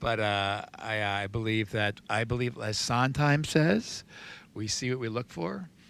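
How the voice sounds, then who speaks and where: Recorded very cleanly against a silent background, an unremarkable speaking voice with an American accent moves fairly slowly with ordinary pitch variation. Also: man, medium pitch for a man. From New Jersey. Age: 60s. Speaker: recovery sponsor. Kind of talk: casual podcast interview.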